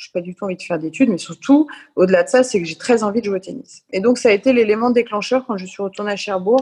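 A woman at medium pitch and a very fast pace, with big swings in loudness and ordinary pitch variation. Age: 40s. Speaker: former professional tennis player. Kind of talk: casual interview.

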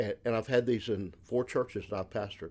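A man speaks with a Southern US accent and fairly even intonation. The recording is very clean, with a silent background. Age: 60s. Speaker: missionary and former pastor. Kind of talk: casual ministry conversation.

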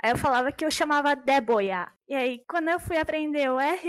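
This woman's pitch shows ordinary variation. She keeps a moderate pace. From Brazil, São Paulo state, Mennonite German-speaking family. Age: 20s. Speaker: translator. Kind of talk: casual interview.

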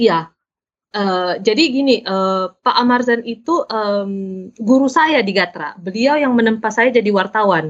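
A woman's normal speaking voice, fairly high in pitch, with lively intonation at a fairly slow pace. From South Sulawesi, Indonesia (Makassar). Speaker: novelist and journalist. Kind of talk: casual interview.

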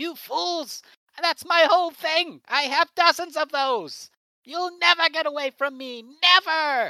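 This is a put-on character voice. It moves along fairly slowly. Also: man, extremely high pitch for a man. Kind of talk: comic overacting. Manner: whiny, indignant, then gloating and panicked.

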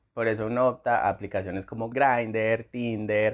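In a plain, everyday voice, a man speaks at a medium pitch and a moderate pace. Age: 20s. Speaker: podcast co-host, graphic designer. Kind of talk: casual chat.

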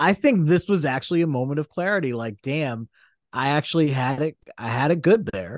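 A man with an unremarkable speaking voice talks with lively intonation and a fairly high pitch. The sound is dry and close with no echo, over a quiet background. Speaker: podcast co-host. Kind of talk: casual banter about sports and culture.

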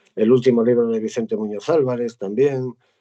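A man speaks at a moderate pace in a medium pitch, his dark, mellow tone carrying ordinary pitch variation. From Spain, Asturias (Gijón). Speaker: poet. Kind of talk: reading aloud; casual chat.

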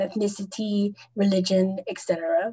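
Her fairly high voice comes out somewhat breathy as the woman talks at a fairly slow pace. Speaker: podcast host. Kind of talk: casual interview.

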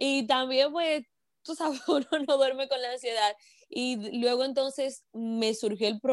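In a Dominican Cibao accent, a woman speaks at a very slow pace. Her intonation is lively. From Dominican Republic, Moca. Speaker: entrepreneur and broadcaster. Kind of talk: interview storytelling. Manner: animated.

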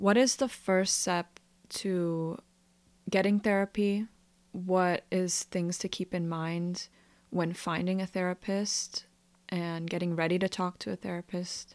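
A woman speaks at a fairly slow pace and a medium pitch, in a plain, everyday voice. The sound is dry and close with no echo, on a very clean recording with a silent background. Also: fairly even intonation. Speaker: student podcast host. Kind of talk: casual interview chat.

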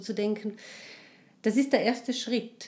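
Here a woman speaks with a fairly high pitch. Her intonation stays fairly even. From Tyrol, Austria. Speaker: life and social counsellor. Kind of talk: interview, personal testimony. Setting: in studio with host. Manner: halting, many fillers.

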